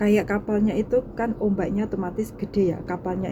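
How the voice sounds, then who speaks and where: Noticeable background noise sits under the recording. A woman talks over it at a medium pitch. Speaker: domestic worker vlogger. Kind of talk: casual vlog talk. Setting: laundry area at employer's home. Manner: soft-spoken.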